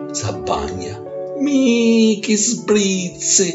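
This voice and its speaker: A man speaks with music playing in the background. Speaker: poet. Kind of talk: poetry reading.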